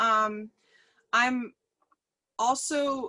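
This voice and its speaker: A woman with an American accent speaks in a raised, projected voice that is high-pitched, bright and sharp in tone, with lively intonation. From South Carolina, Charleston. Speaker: business owner and artist. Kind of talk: interview. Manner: hesitant, many fillers.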